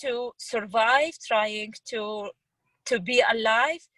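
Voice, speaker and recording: Recorded dry and close with no echo, a woman speaks at a fairly high pitch with ordinary pitch variation. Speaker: refugee speaker. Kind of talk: testimony. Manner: halting, with repetitions.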